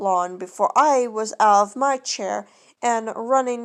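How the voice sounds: The pitch shows ordinary variation. The voice is a natural reading voice.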